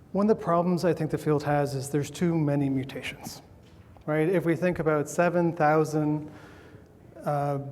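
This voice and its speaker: Audible room echo surrounds a man speaking at a fairly high pitch with fairly even intonation. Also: moderate pace. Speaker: scientist speaking at a conference. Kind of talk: conference talk. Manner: halting, with repetitions.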